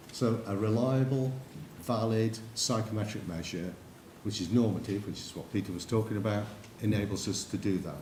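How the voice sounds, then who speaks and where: With an English accent, a man speaks at a fairly low pitch and a moderate pace, his intonation fairly even, and the room echo is audible. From England. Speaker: psychometrics consultant. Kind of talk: conference presentation.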